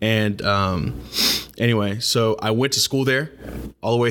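A man with an American accent, an ordinary speaking voice, and a fairly slow pace. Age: 20s. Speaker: podcast host. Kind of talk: casual interview.

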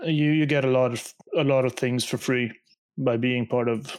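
The man has an ordinary speaking voice at medium pitch, with fairly even intonation and a moderate pace. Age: 30s. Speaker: podcast co-host, game developer. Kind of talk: casual chat.

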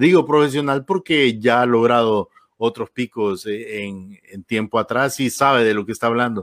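In an ordinary speaking voice of medium pitch, a man talks at a fairly slow pace with ordinary pitch variation, the sound dry and close with no echo. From Honduras. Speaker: radio host. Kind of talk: interview.

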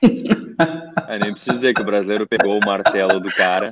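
A plain, everyday voice: a man at a fairly low pitch, with ordinary pitch variation and a moderate pace. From Porto Alegre, southern Brazil. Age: 30s. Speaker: interview guest, emigrant. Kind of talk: casual chat.

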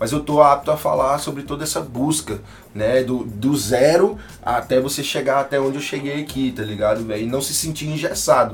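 A man speaks in a plain, everyday voice, pitched fairly high for a man. His pitch varies an ordinary amount, and he keeps a moderate pace. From Tocantins, northern Brazil. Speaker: rapper and music producer. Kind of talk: casual interview chat. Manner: casual slangy speech.

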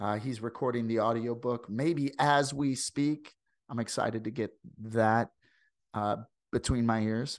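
Against a quiet background, a man with a slight Southern US accent speaks fairly slowly at a medium pitch with fairly even intonation and long, frequent pauses. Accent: slight Southern American. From US Midwest, St. Louis. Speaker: podcast host. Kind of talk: casual interview. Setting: video call.

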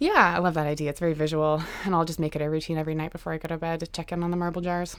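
A woman speaks with a fairly low pitch. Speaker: podcast co-host. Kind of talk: casual chat between sisters.

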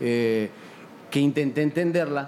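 A man with a plain, everyday voice talks at a fairly high pitch with ordinary pitch variation. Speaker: hip hop artist. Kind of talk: panel discussion.

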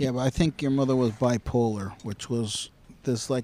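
A man's medium-pitched voice, dry and close with no echo, amid noticeable background noise. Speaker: host's father. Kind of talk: angry rant, a profane, opinionated tirade in casual talk. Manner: emphatic and indignant, swearing heavily; pushy, drives points home with tag questions like "okay?".

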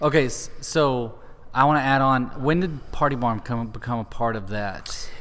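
This man has a plain, everyday voice, pitched in the medium range, with ordinary pitch variation at a moderate pace. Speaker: podcast host. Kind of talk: casual interview.

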